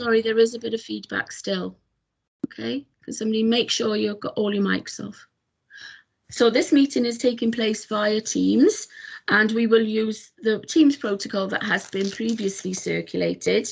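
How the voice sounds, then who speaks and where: A woman speaks with a Welsh accent at a moderate pace. Her voice is somewhat breathy, with ordinary pitch variation. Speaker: committee chair. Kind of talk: formal meeting chairing. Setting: video call. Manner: hesitant, many fillers.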